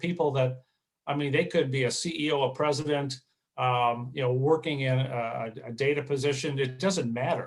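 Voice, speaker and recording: This man's voice sits fairly high for a man and is somewhat breathy. He moves at a moderate pace with ordinary pitch variation. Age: 60s. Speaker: marathon runner. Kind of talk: interview. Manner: halting, many fillers.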